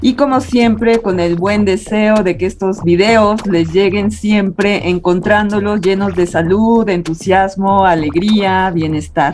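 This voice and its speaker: A woman speaks at a medium pitch and a very slow pace with hardly any pauses. Her intonation is fairly even and her loudness very even. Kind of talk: channel host introduction and interview.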